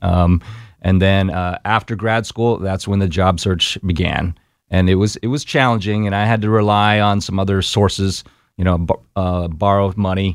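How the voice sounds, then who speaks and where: On a very clean recording with a silent background, a man with an American accent has an ordinary speaking voice, fairly low in pitch, with fairly even intonation. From Texas, Austin. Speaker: navy veteran, former helicopter pilot. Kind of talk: interview. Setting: studio.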